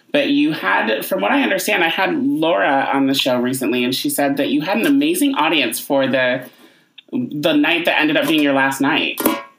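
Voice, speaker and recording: With an American accent, the speaker keeps very even loudness at a moderate pace over noticeable background noise. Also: man. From upstate New York. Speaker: podcast host. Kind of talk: interview.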